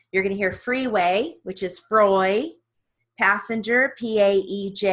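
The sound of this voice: A quiet background beneath an unforced reading voice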